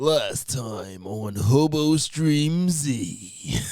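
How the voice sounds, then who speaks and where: This is a man doing a put-on character voice. His pitch is medium. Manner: dramatic, over-the-top announcer delivery.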